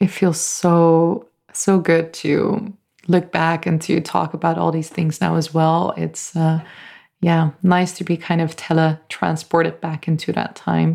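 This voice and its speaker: A woman's fairly low, dark, mellow voice, monotone and flat at a fairly slow pace, on a very clean recording with a silent background. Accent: American. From US South (bible belt). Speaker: podcast host, healer and crystal artist. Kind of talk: solo monologue, personal story.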